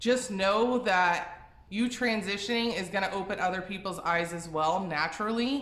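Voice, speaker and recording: The voice has a bright, sharp tone, ordinary pitch variation and a moderate pace. Audible room echo surrounds it. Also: woman. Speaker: vegan lifestyle youtuber. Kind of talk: casual vlog advice talk. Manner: rambling, tripping over words; casual, filler-heavy.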